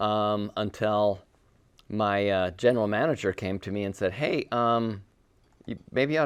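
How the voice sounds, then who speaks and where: A man with a fairly low pitch and ordinary pitch variation uses a normal speaking voice on a very clean recording with a silent background. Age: 60s. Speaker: business owner, HVAC company founder. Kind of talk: panel discussion.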